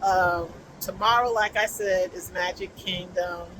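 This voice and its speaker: Noticeable background noise runs under this recording. A woman speaks at a very slow pace. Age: 70s. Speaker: crochet vlogger. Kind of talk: casual chat. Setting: outdoors. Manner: chatty, conversational.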